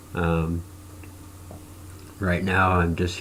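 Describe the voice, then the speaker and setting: Very slowly, a man speaks at a very deep, low pitch in a monotone, flat intonation. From Nebraska. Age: 40s. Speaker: cancer patient vlogger. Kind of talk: personal video blog testimony. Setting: recording to camera. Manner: halting with frequent fillers.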